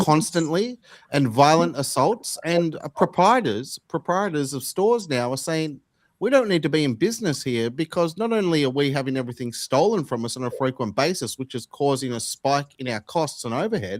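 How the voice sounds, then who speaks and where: A man's fairly high voice with very wide pitch swings at a fairly quick pace, on a very clean recording with a silent background and a dry, close sound with no echo. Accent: Australian. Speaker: podcast host. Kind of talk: casual political discussion.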